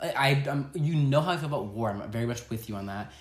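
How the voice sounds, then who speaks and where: The delivery is animated, with lively intonation. The voice is somewhat breathy. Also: man. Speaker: podcast host. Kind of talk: casual chat. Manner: fast talker.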